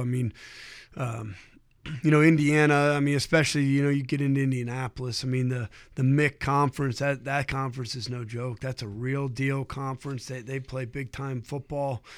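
With an American accent, a man talks at a fairly quick pace in an unremarkable speaking voice, medium in pitch with fairly even intonation, on a very clean recording against a silent background. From Ohio. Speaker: high school football coach. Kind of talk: interview.

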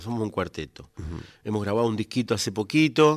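On a very clean recording with a silent background, a man with an unremarkable speaking voice talks at a fairly low pitch with lively intonation. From Argentina, Coronda (Santa Fe). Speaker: folk singer and multi-instrumentalist. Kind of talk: radio interview. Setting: radio studio.

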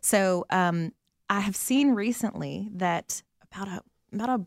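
A woman with a Southern US accent and ordinary pitch variation, in a very clean recording with a silent background and a dry, close sound with no echo. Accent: Southern American. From US South, Atlanta. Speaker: missionary. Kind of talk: interview.

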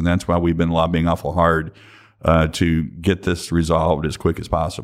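In a Kentucky accent, a man speaks with a very deep, low pitch at a moderate pace. The recording is very clean, with a silent background. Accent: Kentucky Southern US. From Western Kentucky. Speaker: distillers association president. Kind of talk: interview conversation. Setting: association headquarters, in person.

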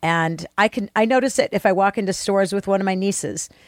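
Captured on a very clean recording with a silent background, a woman with an unremarkable speaking voice talks fairly quickly at a medium pitch. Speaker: podcast producer and co-host. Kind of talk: casual chat.

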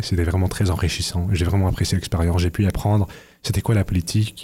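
A man speaks with a very deep, low pitch. His tone is dark and mellow, and somewhat breathy. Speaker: university student. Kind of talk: radio interview. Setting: radio studio. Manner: halting, repeating words.

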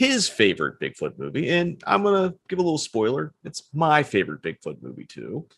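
A man speaks at a fairly quick pace with hardly any pauses and big swings in loudness. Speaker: podcast host. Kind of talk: casual chat, interviewing.

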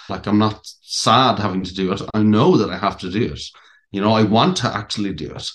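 In a quiet background, a man with a western Irish accent speaks at a fairly low pitch. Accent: Irish (west of Ireland). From Ireland, County Clare. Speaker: actor with a brain injury. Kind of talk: interview, personal story. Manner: halting.

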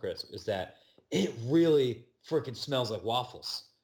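The recording is very clean, with a silent background. A man talks at medium pitch in a somewhat breathy voice. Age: 30s. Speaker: sports podcast host and editor. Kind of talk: casual chat. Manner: halting, many repetitions.

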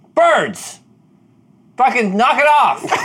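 In a put-on character voice, a man pushes his pitch extremely high. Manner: stern, scolding.

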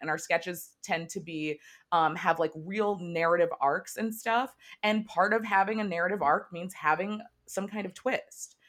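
With an American accent, a woman speaks in a normal speaking voice at a medium pitch with lively intonation, in a very clean recording with a silent background. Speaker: TV comedy writer and producer. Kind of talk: casual interview.

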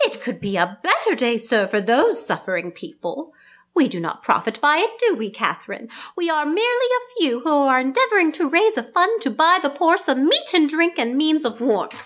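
Her pitch is high, with very wide swings. The woman keeps a moderate pace. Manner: earnest, pleading.

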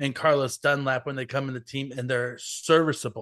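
With an American accent, a normal speaking voice moves at a moderate pace over a quiet background. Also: man. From US, Mexican-American family. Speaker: football writer. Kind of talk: casual chat.

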